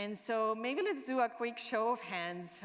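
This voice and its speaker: A woman with a Spanish accent speaks at a fairly high pitch. Her intonation is lively and her pace fairly slow. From Argentina. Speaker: product manager. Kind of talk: conference talk.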